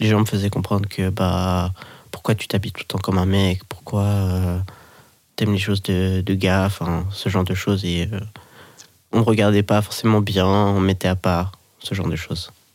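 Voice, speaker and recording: This man's pitch is very deep and low, his intonation monotone and flat. He keeps a moderate pace with long, frequent pauses. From Switzerland, Geneva. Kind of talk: casual interview.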